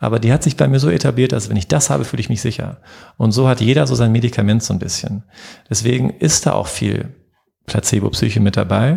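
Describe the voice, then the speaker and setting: A man's dark, mellow tone with vocal fry, lively intonation and a very fast pace. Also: medium pitch for a man. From western Germany, Herdecke. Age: 40s. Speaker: physician. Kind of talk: casual interview.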